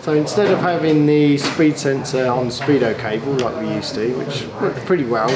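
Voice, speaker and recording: Through loud background noise, a man talks at a moderate pace. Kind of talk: product explanation to camera. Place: workshop. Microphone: lapel.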